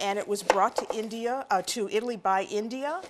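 Noticeable background noise runs through the clip. A woman speaks over it at a moderate pace. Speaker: TV cooking show host. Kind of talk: cooking show presentation. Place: kitchen. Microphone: lapel.

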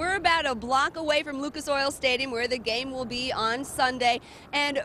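A woman speaks in a raised, projected voice at a moderate pace with ordinary pitch variation. The sound is dry with no echo, over light background noise. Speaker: field news reporter. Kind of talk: live news report. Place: street. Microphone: handheld.

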